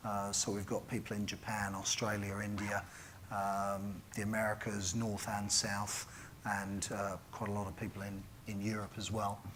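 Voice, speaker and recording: Heard amid noticeable background noise and audible room echo, a man with a British accent speaks in a fairly low pitch and a flat monotone. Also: moderate pace. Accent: British BBC. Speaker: conference keynote speaker, software company representative. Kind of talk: conference keynote talk. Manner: halting, many fillers.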